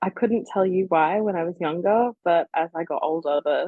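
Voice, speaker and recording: A woman with an Australian accent at a fairly low pitch and moderate pace. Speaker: fan fiction author. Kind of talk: interview.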